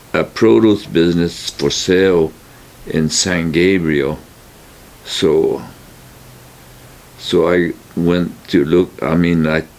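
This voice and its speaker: A man with a very deep, low voice speaks at a very slow pace, his loudness very even, with long, frequent pauses and noticeable background noise. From California. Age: 80s+. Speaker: retired produce store owner. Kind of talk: oral history interview. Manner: halting, many fillers.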